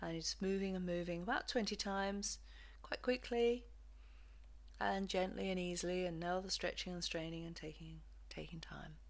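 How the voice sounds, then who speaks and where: A woman talks at a moderate pace with an English accent. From England. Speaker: physiotherapist and movement practitioner. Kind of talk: guided movement lesson instructions. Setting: home recording.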